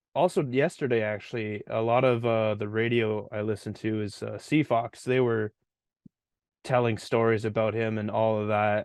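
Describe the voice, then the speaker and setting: A man with a Canadian accent and an ordinary speaking voice, at a medium pitch and fairly slow pace, with fairly even intonation. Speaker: podcast co-host. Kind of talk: casual chat.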